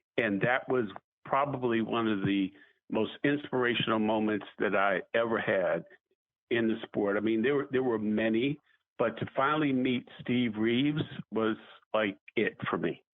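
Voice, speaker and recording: A man with a medium pitch talks at a moderate pace, his loudness very even and his pitch varying in an ordinary way. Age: 60s. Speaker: fitness trainer and sports executive. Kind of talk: interview. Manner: animated.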